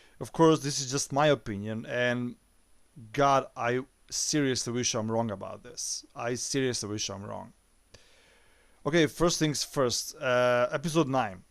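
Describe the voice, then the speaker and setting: Speaking at a fairly slow pace, a man has a medium pitch, ordinary pitch variation and a non-native accent. The recording is very clean, with a silent background. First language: not English. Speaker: YouTube movie reviewer. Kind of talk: opinion monologue. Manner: hesitant, many filler sounds.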